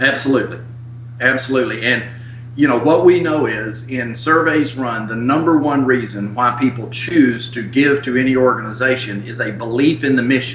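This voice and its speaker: Noticeable noise behind a man talking at a moderate speed and a mid-range pitch. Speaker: church stewardship consultant, former pastor. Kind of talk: interview. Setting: video call. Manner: animated.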